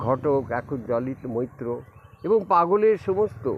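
A man's voice amid noticeable background noise. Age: 80s+. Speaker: spiritual teacher. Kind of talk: appeal to devotees.

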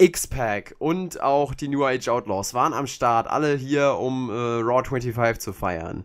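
This man talks very slowly. The background is silent and the recording very clean. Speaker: wrestling podcast host. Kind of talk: casual review chat.

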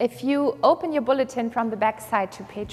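A woman is speaking. Her pitch varies in an ordinary way. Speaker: pastor. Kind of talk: church announcements. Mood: calm, somber then warm. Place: church. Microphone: lapel.

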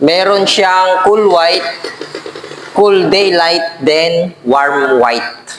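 A man with a high voice speaks very slowly and with ordinary pitch variation, while noticeable background noise and audible room echo fill the recording. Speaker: electrician and video blogger. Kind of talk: product review tutorial. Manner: halting, many fillers.

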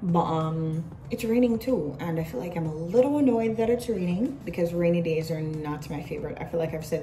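An unremarkable speaking voice from a woman, fairly low in pitch with ordinary pitch variation, at a fairly quick pace over light background noise. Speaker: vlogger. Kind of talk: casual vlog chat. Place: office. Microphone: phone near.

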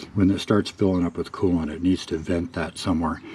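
This man's voice sits at a very deep, low pitch. His tone is relaxed. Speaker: car hobbyist. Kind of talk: casual DIY tutorial talk. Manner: relaxed, hesitant with fillers.

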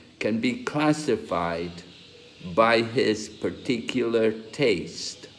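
A man speaks with vocal fry. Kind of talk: scripture lecture with live translation. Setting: video call. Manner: pauses for interpreter after short segments.

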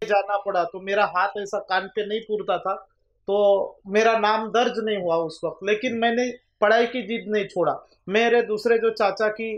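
A man's high-pitched voice at a fairly slow pace, with fairly even intonation. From Maharashtra, Gondia district (Vidarbha); Maharashtra, India. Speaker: rural government doctor; guest. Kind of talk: interview; interview answer. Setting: studio. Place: studio.

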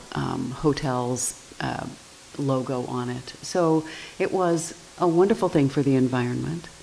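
A woman talks with a very deep, low pitch. Light background noise sits behind her. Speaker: town commissioner. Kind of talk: council meeting discussion. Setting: town council meeting. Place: meeting room.

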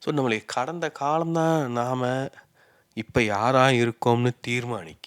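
Heard in a dry, close sound with no echo, a man talks with medium pitch and ordinary pitch variation. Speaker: YouTuber. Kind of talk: reflective monologue. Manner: unscripted, off the cuff.

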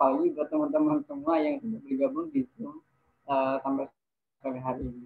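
The loudness swings widely from moment to moment. Everything is delivered at a very fast pace. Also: man. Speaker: moderator and MC; moderator, MC. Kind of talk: event moderation. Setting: video call. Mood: polite, grateful. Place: home room. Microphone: video call.

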